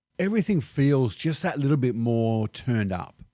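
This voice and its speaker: Recorded very cleanly over a silent background, a man with an Australian accent talks at a moderate pace. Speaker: expat vlogger. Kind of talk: casual vlog monologue.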